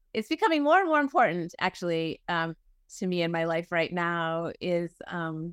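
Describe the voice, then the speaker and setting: An ordinary speaking voice from a woman, fairly low in pitch and at a moderate pace, in a dry, close sound with no echo on a very clean recording with a silent background. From New England (Boston area). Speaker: minister. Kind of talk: interview conversation.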